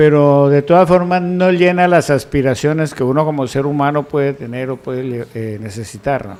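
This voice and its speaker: This man has a normal speaking voice, fairly high in pitch, moving at a moderate pace with ordinary pitch variation and hardly any pauses. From Colombia, Huila (Yaguará). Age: 60s. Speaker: news panelist.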